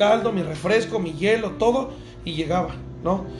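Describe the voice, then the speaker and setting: Amid noticeable background noise and audible room echo, a man speaks at a moderate pace with a high pitch and ordinary pitch variation. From Veracruz, Mexico. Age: 30s. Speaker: restaurant owner. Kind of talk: casual interview. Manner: halting.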